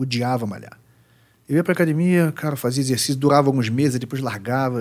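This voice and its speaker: Using a plain, everyday voice, a man talks with a fairly high pitch and ordinary pitch variation. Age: 40s. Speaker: psychoanalyst. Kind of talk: casual chat. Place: studio. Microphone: studio mic.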